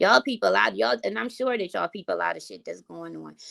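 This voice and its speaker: The sound is dry and close with no echo. A woman talks in an animated tone at a fairly quick pace. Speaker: content creator. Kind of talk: casual vlog rant.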